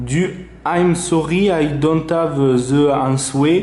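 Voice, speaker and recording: A man's voice carries audible room echo. His pitch is fairly high. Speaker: tech reviewer. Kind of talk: product review tutorial. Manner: casual, hesitant with fillers.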